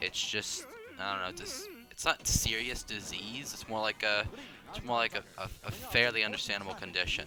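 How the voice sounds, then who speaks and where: Music in the background behind a man's voice at a medium pitch. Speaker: gaming youtuber. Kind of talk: gameplay commentary. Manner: fast; halting.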